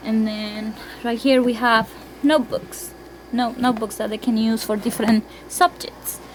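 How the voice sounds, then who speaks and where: A woman with a Spanish accent speaks at a moderate pace with a fairly high pitch and ordinary pitch variation, amid noticeable background noise. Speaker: homeschooling parent. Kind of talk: room tour. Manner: casual, halting.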